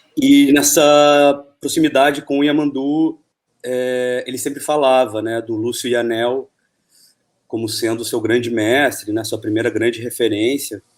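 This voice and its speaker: A man's medium-pitched voice, fairly slow and with fairly even intonation, an unremarkable speaking voice. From Argentina, moved to Brazil early 1980s. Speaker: film director. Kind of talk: interview.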